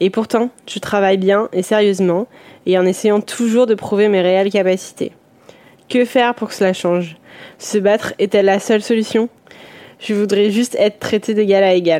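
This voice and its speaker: Her voice has a dark, mellow tone at a medium pitch as this woman speaks in a flat monotone at a moderate pace with long, frequent pauses. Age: 20s. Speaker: watchmaker. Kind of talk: listener voice message.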